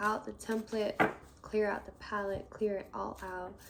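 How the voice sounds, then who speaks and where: With noticeable background noise around her, a woman talks at a fairly high pitch. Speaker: tarot reader. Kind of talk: tarot reading. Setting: indoors. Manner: soft-spoken.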